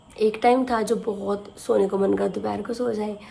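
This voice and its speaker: A woman speaking at a fairly high pitch amid noticeable background noise. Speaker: vlogger. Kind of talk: casual vlog talk to camera.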